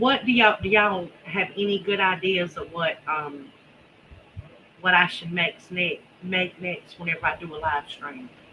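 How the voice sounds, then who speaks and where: With an American accent, a woman speaks at a moderate pace and medium pitch, her pitch varying in an ordinary way while her loudness swings widely. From coastal North Carolina. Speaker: homesteading YouTuber. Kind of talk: live stream chat. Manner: casual.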